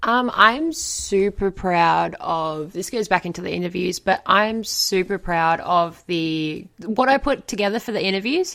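The speaker is a woman with a normal speaking voice. Her pitch is medium and her pace fairly slow. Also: lively intonation, hardly any pauses. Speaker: podcast co-host. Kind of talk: casual chat. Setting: remote recording from home.

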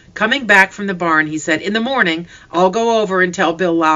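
The speaker reads aloud plainly. Pitch varies an ordinary amount.

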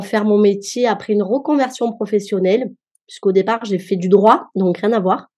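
Against a quiet background, a woman speaks at medium pitch with fairly even intonation and a dark, mellow tone. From France, Marseille. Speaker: cook and home chef. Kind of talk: podcast interview.

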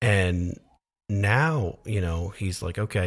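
On a very clean recording with a silent background, a man with a fairly low pitch has a plain, everyday voice with ordinary pitch variation. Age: 30s. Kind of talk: casual chat.

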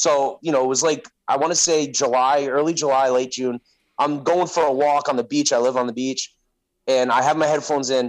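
A man talks at a fairly quick pace in an unremarkable speaking voice, pitched fairly high. His intonation is fairly even and his loudness very even. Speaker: podcaster. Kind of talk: casual chat.

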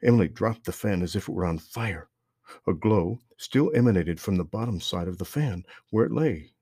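With a quiet background, a person is reading aloud in a natural voice.

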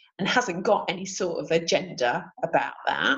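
A woman's intonation is lively and her voice somewhat breathy. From Sheffield, northern England. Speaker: business support coordinator. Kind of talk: casual interview.

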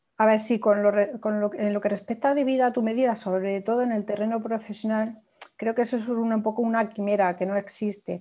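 At a fairly quick pace, a woman speaks in a fairly high pitch with a dark, mellow tone and monotone, flat intonation. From Spain, small village in Toledo. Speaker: social media manager and blogger. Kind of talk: interview.

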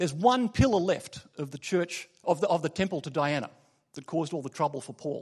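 A man with an Australian accent speaks fairly quickly in a high voice. His intonation is lively and his loudness swings widely. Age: 40s. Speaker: lay preacher. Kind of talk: sermon. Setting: church. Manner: halting, many filler words.

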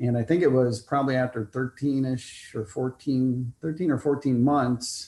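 A man speaks at a medium pitch. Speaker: married guest sharing love story. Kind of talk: casual interview. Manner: quiet.

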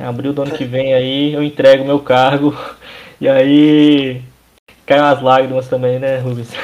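In a flat monotone, a man of medium pitch talks at a fairly slow pace, stopping for long, frequent pauses. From Brazil, Minas Gerais (Governador Valadares). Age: 20s. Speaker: church youth organization leader. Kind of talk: casual chat.

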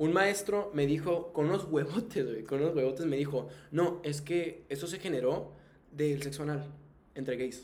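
A man talks at a fairly high pitch with ordinary pitch variation. Noticeable background noise and audible room echo surround his voice. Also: moderate pace. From Tijuana, northern Mexico. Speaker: podcast host. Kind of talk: casual chat; reading aloud. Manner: animated.

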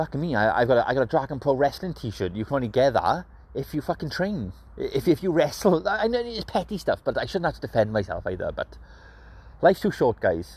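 A man talks at a very fast pace, his pitch swinging very widely. Vocal fry runs through his voice. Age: 30s.

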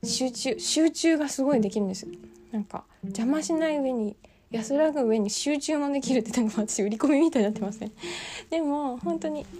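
Her pitch high, a woman talks with lively intonation. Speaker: podcaster. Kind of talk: casual solo monologue. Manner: fast; laughing often.

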